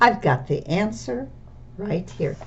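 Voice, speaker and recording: A female-sounding put-on character voice, pitched low-to-middle, plays over clear background noise. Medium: read story. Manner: timid, helpful.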